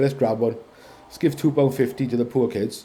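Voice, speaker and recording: At a fairly quick pace, a man talks in a medium pitch with ordinary pitch variation and noticeable background noise. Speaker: car competition vlogger. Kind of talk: casual commentary video. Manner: hesitant, many fillers. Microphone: poor audio.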